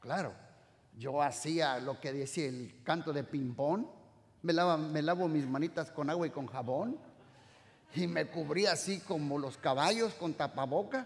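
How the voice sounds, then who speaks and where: With an animated tone and ordinary pitch variation, a man with a fairly high pitch speaks at a fairly slow pace. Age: 60s. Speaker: pastor. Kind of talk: sermon.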